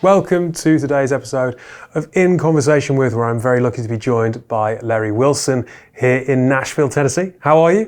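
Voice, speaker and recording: A man with a British accent speaks at a fairly quick pace, using a medium pitch with ordinary variation. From Britain. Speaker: interviewer. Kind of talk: interview.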